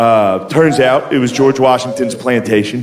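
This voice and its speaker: Over noticeable background noise, the delivery holds a moderate tempo and ordinary pitch variation. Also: man. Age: 30s. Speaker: stand-up comedian. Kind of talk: stand-up comedy set.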